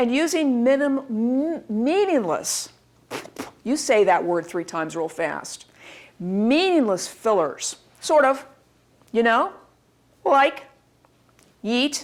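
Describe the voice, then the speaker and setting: The delivery is very slow, with long, frequent pauses. The pitch swings very widely. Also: woman, high pitch for a woman. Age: 40s. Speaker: university instructor. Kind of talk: lecture.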